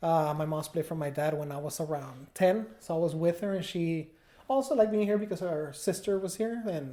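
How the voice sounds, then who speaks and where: A man with a Mexican accent talks at a fairly quick pace in a dark, mellow tone with ordinary pitch variation. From Mexico, Guadalajara. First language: Spanish. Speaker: food business owner, former music industry worker. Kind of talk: podcast interview.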